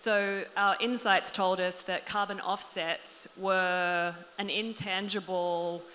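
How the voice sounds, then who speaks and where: A woman speaks with an Australian accent. Her medium-pitched voice has a bright, sharp tone. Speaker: panelist, loyalty program marketing executive. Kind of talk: panel discussion.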